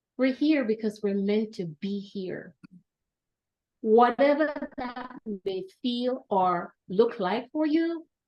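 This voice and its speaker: A woman speaks at a very slow pace with long, frequent pauses. Her intonation is lively. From Jamaica. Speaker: academic administrator and panel speaker. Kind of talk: welcome address. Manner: formal.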